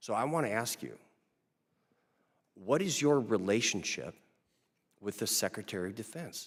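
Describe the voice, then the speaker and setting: With a Minnesotan accent, a man speaks with lively intonation. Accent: Minnesota. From Minnesota, Stillwater. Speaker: congressman, military veteran. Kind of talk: congressional hearing questioning. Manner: casual, joking.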